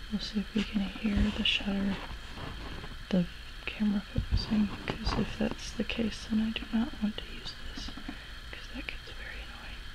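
A soft-spoken woman talks at a moderate pace, with big swings in loudness and long, frequent pauses. Noticeable background noise runs beneath her. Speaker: ASMR creator. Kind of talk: ASMR soft-spoken talk. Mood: reflective, serious. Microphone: camera far.

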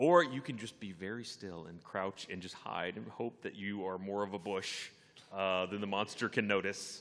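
A man with an American accent speaks in a plain, everyday voice at a moderate pace, his fairly low pitch showing ordinary variation and big swings in loudness over a quiet background. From Texas. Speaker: gaming web show panelist. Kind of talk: live convention panel chat. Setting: stage with audience. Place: hall. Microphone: studio mic.

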